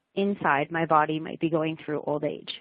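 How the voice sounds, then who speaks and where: Speaking at a fairly quick pace, a woman uses a normal speaking voice at a fairly low pitch. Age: 30s. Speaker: childhood cancer survivor. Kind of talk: webcast talk.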